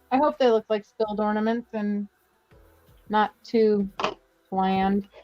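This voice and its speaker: A woman's medium-pitched voice at a fairly slow pace, with fairly even intonation, a dry, close sound with no echo and music in the background. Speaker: live-stream crafter and seller. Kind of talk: casual chat while crafting. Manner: quirky pronunciation of words.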